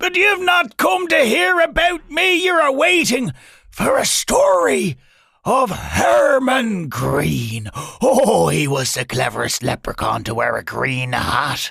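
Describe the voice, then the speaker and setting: A raspy, raised, projected voice speaks at a fairly slow pace. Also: man. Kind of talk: bedtime-style fantasy narration. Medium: read story.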